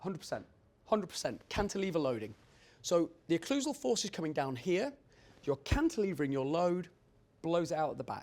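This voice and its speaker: With a British accent and a high pitch, a man talks at a fairly quick pace, his pitch swinging very widely, with long, frequent pauses. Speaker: dental lab owner and technician. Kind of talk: conference presentation. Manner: fast.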